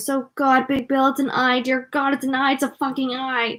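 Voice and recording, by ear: A woman puts on a character voice with a high pitch, strained and monotone with flat intonation. Her pace is moderate.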